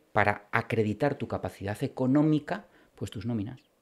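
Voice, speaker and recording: In a very clean recording with a silent background, a man talks at a moderate pace with ordinary pitch variation, an ordinary speaking voice. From Spain, Bilbao (Basque Country). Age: 40s. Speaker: criminal and military lawyer. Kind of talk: interview.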